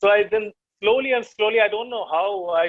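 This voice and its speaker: A man speaks with an Indian accent. His voice sits high in pitch. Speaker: poet. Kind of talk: interview. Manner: halting.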